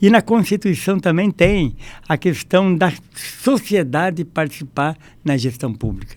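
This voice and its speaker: A man's high-pitched voice with lively intonation at a fairly slow pace, in a very clean recording with a silent background. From Brazil, Foz do Iguaçu, Paraná. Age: 70s. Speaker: health council president. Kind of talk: podcast interview.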